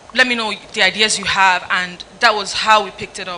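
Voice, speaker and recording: Noticeable background noise runs under this clip. A woman speaks at a moderate pace with ordinary pitch variation. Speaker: fashion stylist and content creator. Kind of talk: panel discussion. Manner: halting.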